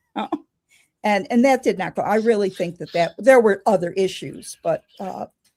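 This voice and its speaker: Recorded with a dry, close sound and no echo, a woman talks at a moderate pace in a dark, mellow, somewhat breathy tone. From Chicago. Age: 70s. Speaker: pagan elder and author. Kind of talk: interview. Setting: in person, same room.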